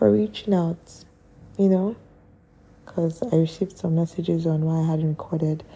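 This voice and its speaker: Soft-spoken and at a moderate pace, a woman talks at a very deep, low pitch with ordinary pitch variation. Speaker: podcaster. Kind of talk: casual monologue. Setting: at home late at night. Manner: quiet, soft-spoken.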